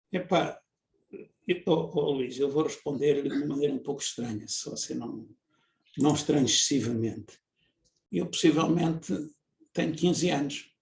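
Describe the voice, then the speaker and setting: The somewhat breathy voice moves at a moderate pace with ordinary pitch variation and long, frequent pauses. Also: man, fairly high pitch for a man. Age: 70s. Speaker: engineer and researcher. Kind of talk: interview. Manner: halting, many fillers.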